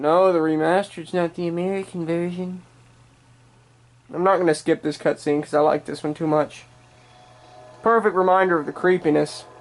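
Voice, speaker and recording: Speaking at a moderate pace with fairly even intonation, a woman with a fairly low pitch leaves long, frequent pauses. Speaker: gaming YouTuber. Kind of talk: let's play commentary. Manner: loud.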